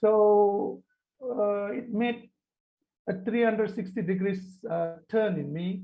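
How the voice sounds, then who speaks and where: A man in a Tamil accent has a high voice. He talks at a fairly slow pace with fairly even intonation. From Malaysia. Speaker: panelist. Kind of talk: panel discussion. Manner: halting.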